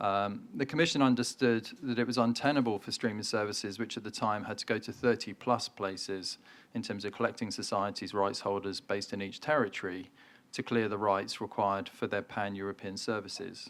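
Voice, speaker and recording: A man with a British accent speaks at a fairly quick pace, his fairly low pitch held in fairly even intonation. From UK. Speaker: trade association CEO. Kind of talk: keynote speech.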